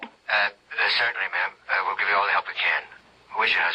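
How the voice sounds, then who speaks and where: A man puts on a raspy character voice. He talks at a very fast pace. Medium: old radio play. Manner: hesitant, stammering.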